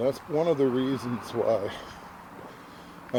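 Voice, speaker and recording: A man speaks over noticeable background noise. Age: 60s. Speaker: walking vlogger. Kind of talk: casual vlog narration. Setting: outdoors on a walking trail.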